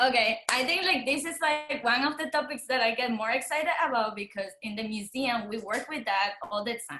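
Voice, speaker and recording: At a fairly quick pace, a woman with a Spanish accent speaks in a high voice with lively intonation and hardly any pauses. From Dominican Republic. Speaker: artist and museum worker. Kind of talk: panel discussion. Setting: video call.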